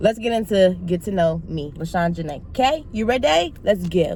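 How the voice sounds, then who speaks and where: Loudly, a woman speaks with very wide pitch swings. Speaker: YouTuber. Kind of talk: casual vlog talk to camera. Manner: animated.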